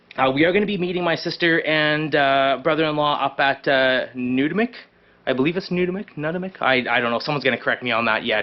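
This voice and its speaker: At a very fast pace, a man talks with a fairly high pitch and ordinary pitch variation. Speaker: fishing and camping vlogger. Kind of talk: casual vlog talk to camera. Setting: hot garage. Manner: rambling with many fillers.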